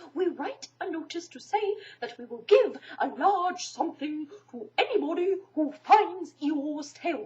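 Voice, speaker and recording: She puts on a character voice. It sits extremely high. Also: moderate pace. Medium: read story. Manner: pompous, wordy.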